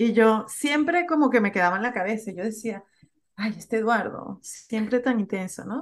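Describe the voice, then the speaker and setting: Here a woman has an unremarkable speaking voice, fairly high in pitch, with ordinary pitch variation at a moderate pace. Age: 40s. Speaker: podcaster and social communicator. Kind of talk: interview conversation.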